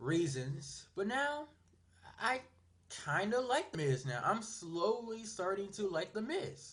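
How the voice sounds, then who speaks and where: The voice is raised and projected, with a bright, sharp tone. Its pitch swings very widely. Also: man. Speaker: wrestling YouTuber. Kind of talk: casual vlog monologue. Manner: stuttering; hesitant, many fillers.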